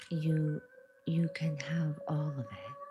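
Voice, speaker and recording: Soft-spoken delivery with music in the background. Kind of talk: soft-spoken tarot reading and reiki ASMR.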